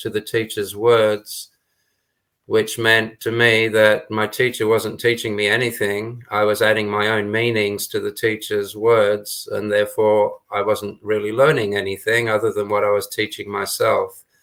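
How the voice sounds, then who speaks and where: A man with a fairly low voice and a bright, sharp tone speaks at a fairly slow pace. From Scotland, Britain and Australia. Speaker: spiritual teacher, former monk. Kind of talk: interview.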